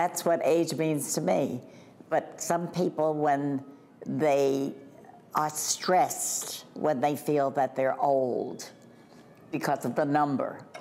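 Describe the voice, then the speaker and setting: Over light background noise, a woman speaks very slowly in a very deep, low pitch, with fairly even intonation and very even loudness. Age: 80s+. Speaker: retirement community resident. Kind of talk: interview answer. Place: home room. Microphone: lapel.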